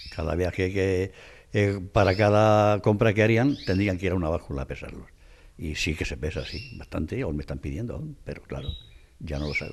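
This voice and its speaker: Speaking with vocal fry and a very deep, low pitch, a man uses lively intonation. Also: moderate pace. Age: 70s. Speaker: craftsman (scale maker). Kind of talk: interview. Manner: halting.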